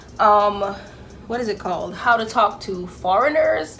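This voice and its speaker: At a moderate pace, a woman speaks in a medium pitch. Room echo is audible. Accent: Jamaican. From Jamaica. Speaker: YouTuber. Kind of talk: casual vlog chat.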